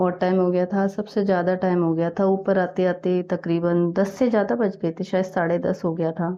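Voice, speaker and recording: A woman talks at a moderate pace with hardly any pauses, a relaxed tone, medium pitch, very even loudness and monotone, flat intonation. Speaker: vlogger. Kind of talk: casual vlog narration. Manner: relaxed, with fillers.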